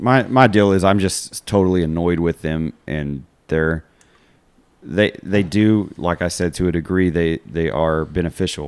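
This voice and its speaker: In a West Texas accent, a man with a very deep, low pitch speaks at a fairly slow pace. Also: ordinary pitch variation. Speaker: podcast host, school coach. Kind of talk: casual chat.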